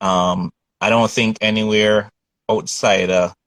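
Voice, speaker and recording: A man with a Jamaican accent is heard in a dry, close sound with no echo. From Jamaica, Kingston. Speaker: painter. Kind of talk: interview. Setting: video call.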